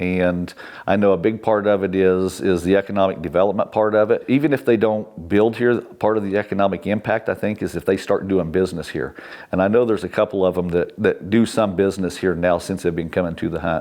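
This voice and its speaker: Using an unremarkable speaking voice, a man with an American accent talks at a fairly quick pace, with a fairly low pitch and fairly even intonation. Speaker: county commissioner, hunting guide and landowner, board chair-elect; retired law enforcement officer. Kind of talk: oral history interview answer.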